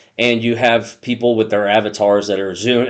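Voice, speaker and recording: Against a quiet background, a man with an ordinary speaking voice talks at a fairly low pitch and a fairly quick pace with fairly even intonation. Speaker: crypto YouTuber. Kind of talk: casual explainer video.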